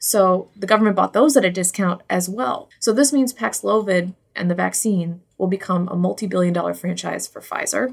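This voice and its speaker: A woman at a moderate pace with ordinary pitch variation and hardly any pauses, a normal speaking voice. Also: medium pitch for a woman. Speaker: newspaper reporter. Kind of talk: casual chat.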